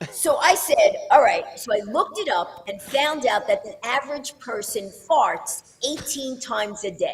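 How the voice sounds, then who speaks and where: The voice moves at a moderate pace with very wide pitch swings and big swings in loudness. Noticeable background noise runs underneath. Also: woman, high pitch for a woman. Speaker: fastest talker record holder. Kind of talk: interview answer.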